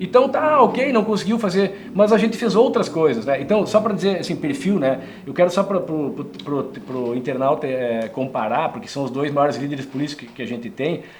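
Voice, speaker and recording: A man with fairly high pitch, very wide pitch swings, big swings in loudness, hardly any pauses, audible room echo, and noticeable background noise. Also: moderate pace. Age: 60s. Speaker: former politician. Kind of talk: interview. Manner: animated.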